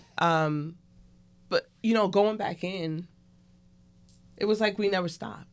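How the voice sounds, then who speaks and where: Speaking with a New York accent, a woman talks at a fairly slow pace with fairly even intonation and long, frequent pauses. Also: medium pitch for a woman. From Brooklyn, New York. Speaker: restaurant co-owner and medical worker. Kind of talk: casual chat.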